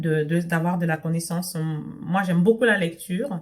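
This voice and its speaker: A woman's somewhat breathy, fairly low voice with a non-native accent, at a fairly slow pace. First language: not French (speaking French). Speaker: sewing and lifestyle vlogger. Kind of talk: casual vlog talk to camera. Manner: hesitant, many fillers and restarts.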